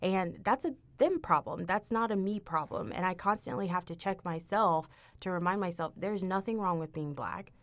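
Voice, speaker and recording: A woman with an American accent has an unremarkable speaking voice at a medium pitch with ordinary pitch variation. She talks at a moderate pace on a very clean recording with a silent background. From Texas, Houston. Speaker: university diversity administrator. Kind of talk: casual chat.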